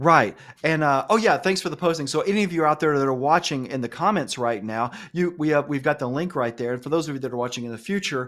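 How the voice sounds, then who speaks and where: A man with an Alabama accent, fairly high pitch, ordinary pitch variation, an animated tone and a very fast pace. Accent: Southern US (Alabama). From US South, Alabama. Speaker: cloud instructor and live show host. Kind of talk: live webinar chat.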